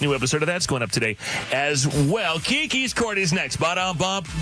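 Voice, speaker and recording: A man speaks at a fairly quick pace with music playing in the background. His pitch is fairly high, and his tone is upbeat. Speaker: radio host. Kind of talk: morning radio show.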